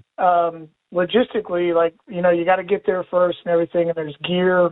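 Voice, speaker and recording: A high-pitched man's voice with an American accent. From West Virginia. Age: 40s. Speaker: firefighter, caller. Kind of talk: call-in question.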